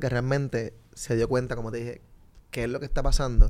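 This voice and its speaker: Fairly quick and dark, mellow in tone, a man's voice carries along. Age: 30s. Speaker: street reporter. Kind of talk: casual chat. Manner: animated.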